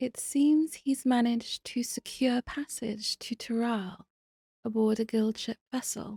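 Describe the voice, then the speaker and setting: With a British accent, the speaker uses a dark, mellow tone at a fairly slow pace with fairly even intonation, in a dry, close sound with no echo. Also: woman, high pitch for a woman. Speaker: video game streamer.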